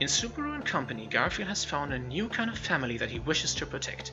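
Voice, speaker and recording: A man's words come fairly quickly. Background music accompanies him. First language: not English. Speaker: anime video creator. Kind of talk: scripted narration.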